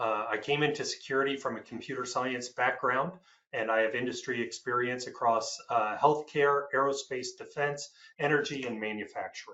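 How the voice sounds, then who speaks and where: Here is an unremarkable speaking voice from a man with an American accent. His pitch is medium, with ordinary variation. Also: moderate pace. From United States. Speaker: IT security executive. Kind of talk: panel discussion.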